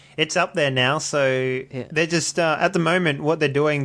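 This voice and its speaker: A man's fairly high voice with an Australian accent and ordinary pitch variation. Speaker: podcast host and media editor. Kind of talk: casual chat. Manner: jokey, laughs often.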